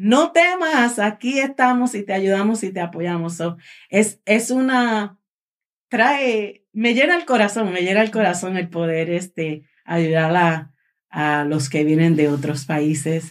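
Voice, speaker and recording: Very slowly, a woman speaks at a medium pitch with very wide pitch swings. The recording is very clean, with a silent background. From Puerto Rico. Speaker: charity director. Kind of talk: casual chat.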